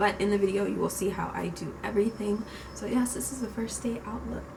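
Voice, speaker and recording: There is noticeable background noise and audible room echo. A woman talks through it at a fairly quick pace. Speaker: beauty youtuber. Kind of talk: makeup tutorial. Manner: quiet.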